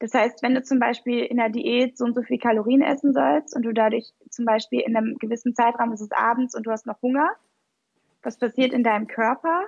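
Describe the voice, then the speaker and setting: A high-pitched woman at a fairly quick pace, with ordinary pitch variation and a dry, close sound with no echo. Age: 20s. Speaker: physician, nutrition coach and founder. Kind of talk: interview conversation.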